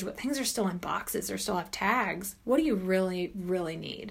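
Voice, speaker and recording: Pitch rises and falls in an ordinary way at a moderate tempo. The voice is a plain, everyday voice. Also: woman. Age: 40s. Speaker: author. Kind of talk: casual chat.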